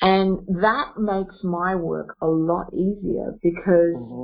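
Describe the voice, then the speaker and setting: Speaking in an Australian accent, a woman uses a mid-range pitch. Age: 50s. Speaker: singer and healer. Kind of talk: interview storytelling.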